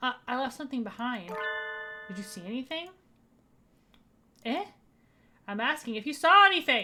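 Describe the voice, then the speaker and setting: Over music in the background, a woman puts on a high-pitched character voice at a moderate pace, with long, frequent pauses. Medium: virtual streamer. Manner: cold, haughty.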